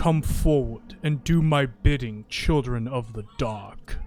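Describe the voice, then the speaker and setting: A man puts on a character voice. It sits at a medium pitch. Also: fairly slow pace. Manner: commanding, ominous.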